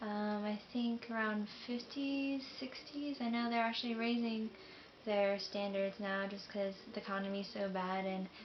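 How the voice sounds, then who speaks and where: Against noticeable background noise, a woman of medium pitch speaks with an American accent at a moderate pace and fairly even intonation. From US South, Jacksonville, Florida. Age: 20s. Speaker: military enlistee vlogger. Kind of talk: casual vlog monologue. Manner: hesitant, many fillers.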